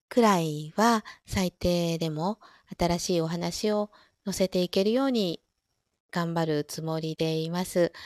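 Her pace is very slow. This woman's pitch sits in the medium range. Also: dry, close sound with no echo. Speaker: audio streamer who reads stories aloud. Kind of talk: reading aloud; casual chat. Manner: louder in dialogue lines.

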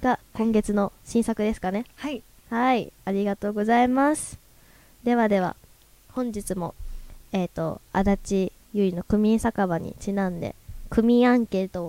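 A woman's fairly high, dark and mellow voice with ordinary pitch variation, in a dry, close sound with no echo. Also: fairly slow pace. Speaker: radio host. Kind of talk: casual chat. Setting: live recording with audience.

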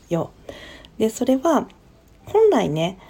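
A woman is talking here. Her voice has a dark, mellow tone. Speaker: podcast host. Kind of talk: solo talk. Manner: casual, many fillers.

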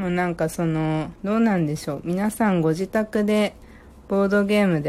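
A woman speaks in a relaxed, dark and mellow tone. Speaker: podcast host. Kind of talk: casual chat.

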